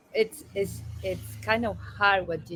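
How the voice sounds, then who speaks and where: With a Spanish accent, a woman talks fairly slowly in a bright, sharp tone at medium pitch, her pitch varying in an ordinary way. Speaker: change management consultant. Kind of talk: interview.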